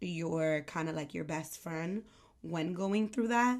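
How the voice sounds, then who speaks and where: This woman speaks in a New York accent. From New York, the Bronx. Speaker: aesthetician and podcast host. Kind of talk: casual talk to camera. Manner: casual, filler-heavy.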